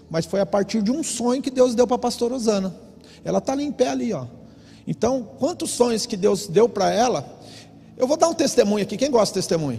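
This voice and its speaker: A man's high-pitched, animated voice at a very fast pace, full of lively intonation. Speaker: pastor. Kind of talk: sermon. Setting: church.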